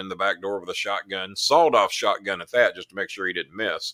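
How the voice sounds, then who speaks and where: Close and dry with no echo, a man's voice has a bright, sharp tone and a fairly quick pace. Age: 60s. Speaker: live show host. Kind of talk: casual chat. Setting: live stream.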